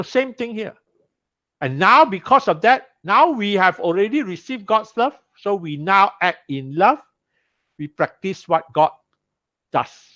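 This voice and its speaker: A man projects a raised voice, high in pitch with a bright, sharp tone and very wide pitch swings. He goes at a fairly slow pace with long, frequent pauses, and the background is quiet. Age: 60s. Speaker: Bible study teacher. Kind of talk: sermon-style Bible class teaching.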